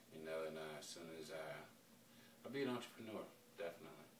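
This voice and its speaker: Over audible room echo, a man with a very deep, low voice talks at a fairly quick pace. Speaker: rapper. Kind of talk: interview.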